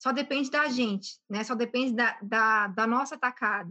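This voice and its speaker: Against a quiet background, a woman speaks at a fairly slow pace with a high pitch. Her tone is bright and sharp, and her intonation lively. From Brazil, Belo Horizonte (Minas Gerais). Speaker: entrepreneur and airline pilot. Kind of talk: interview.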